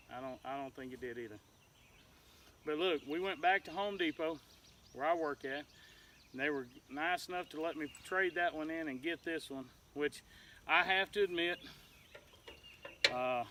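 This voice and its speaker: A man with a Southern US accent and a bright, sharp tone speaks at a moderate pace with a fairly high pitch, ordinary pitch variation, and long, frequent pauses. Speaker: homesteader. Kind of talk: casual vlog.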